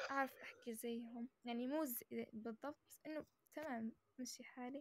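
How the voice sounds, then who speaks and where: A woman's high-pitched voice, with ordinary pitch variation, has a dry, close sound with no echo. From Algeria, Amazigh (Berber) background. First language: Amazigh (Berber) (speaking Arabic). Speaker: social media chat guest. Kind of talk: casual chat. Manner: hesitant, many fillers and restarts.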